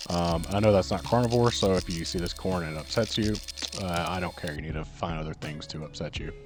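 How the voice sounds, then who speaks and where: Over music in the background, a man speaks very fast in a very deep, low voice. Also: ordinary pitch variation. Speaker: cooking vlogger, restaurant owner. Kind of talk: casual vlog narration. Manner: low energy, subdued.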